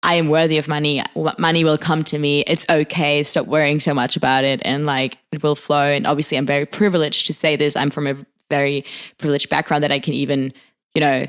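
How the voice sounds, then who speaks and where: A woman with a very deep, low pitch talks at a very fast pace in a monotone, flat intonation, keeping her loudness very even. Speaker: podcast co-host. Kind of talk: casual chat.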